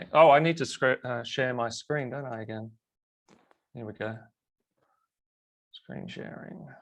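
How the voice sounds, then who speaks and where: A man with an Australian accent speaks at a medium pitch and a fairly slow pace, with long, frequent pauses. His loudness swings widely while his pitch varies in an ordinary way. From Australia, Melbourne. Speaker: web designer and plugin developer. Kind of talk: webinar presentation. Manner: halting.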